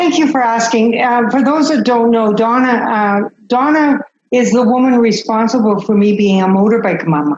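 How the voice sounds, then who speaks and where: A woman at a fairly high pitch and moderate pace, with ordinary pitch variation. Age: 60s. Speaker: spiritual teacher. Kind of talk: video call group discussion. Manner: loud.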